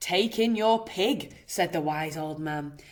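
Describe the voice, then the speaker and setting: A woman's growling, put-on character voice, fairly low in pitch, with lively intonation at a fairly slow pace. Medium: read story.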